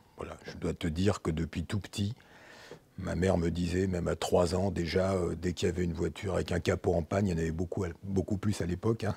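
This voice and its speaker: The voice has a dark, mellow tone and is somewhat breathy. It moves at a fairly quick pace with monotone, flat intonation. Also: man, very deep, low pitch for a man. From France. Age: 60s. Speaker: former industrialist, business consultant. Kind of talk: podcast interview. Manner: casual, hesitant with fillers.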